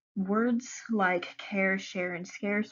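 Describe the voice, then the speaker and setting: A woman with an Ozark accent speaks at a medium pitch with ordinary pitch variation. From Ozarks region, USA. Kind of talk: class presentation.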